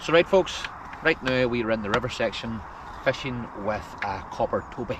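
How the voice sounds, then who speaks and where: Over noticeable background noise, a man with a Northern Irish accent talks at a moderate pace, with a medium pitch and ordinary pitch variation. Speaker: fishing video host. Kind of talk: outdoor fishing vlog narration. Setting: outdoors on a boat on a lake. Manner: quiet, hushed.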